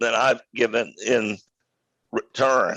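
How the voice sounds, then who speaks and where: This man speaks at a very slow pace with an American accent. The sound is dry and close with no echo. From Maine, US. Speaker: business executive and author. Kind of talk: interview.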